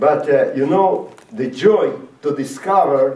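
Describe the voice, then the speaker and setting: A man's voice swings very widely in pitch. Audible room echo and noticeable background noise surround it. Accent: non-native. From Latvia (Riga), Soviet Union. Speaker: rabbi and former Soviet prisoner. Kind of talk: talk to high school students. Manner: halting, many fillers.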